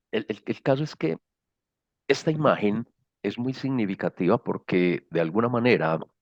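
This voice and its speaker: Against a quiet background with a dry, close sound and no echo, a man with a paisa accent speaks at medium pitch and a moderate pace, his intonation lively and broken by long, frequent pauses. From Colombia, Medellín (paisa). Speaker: social innovation speaker. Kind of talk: lecture. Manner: hesitant, many fillers.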